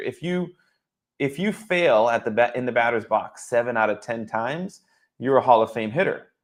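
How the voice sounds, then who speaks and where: A man with an American accent has an ordinary speaking voice at medium pitch. He talks at a moderate pace with lively intonation against a quiet background. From Boston area. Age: 40s. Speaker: former baseball player turned wealth advisor. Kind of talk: interview. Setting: live stream.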